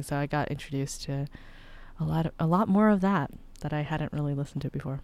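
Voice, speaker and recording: The tone is animated, with ordinary pitch variation at a fairly quick pace. The recording is very clean, with a silent background. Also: woman. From US (moved around: New Mexico, Florida, Arizona). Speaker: singer-songwriter and producer. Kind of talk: casual chat. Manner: animated, laughing often.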